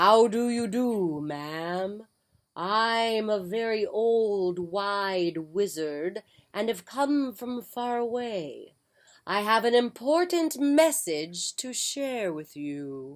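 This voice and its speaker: A female-sounding, put-on character voice speaks at a very slow pace on a very clean recording with a silent background. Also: fairly high pitch for a woman. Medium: read story. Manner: mysterious, grand.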